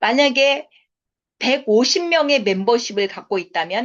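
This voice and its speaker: At a fairly slow pace, a woman speaks in a high pitch that swings very widely. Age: 50s. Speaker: network marketing business lecturer. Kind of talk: sales seminar lecture.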